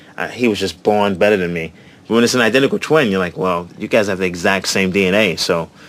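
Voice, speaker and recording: With a New York accent, a man talks at a very fast pace, his fairly low pitch showing ordinary variation. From New York City, Brooklyn and Queens. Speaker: comedian. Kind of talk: casual chat. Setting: outdoors. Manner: animated.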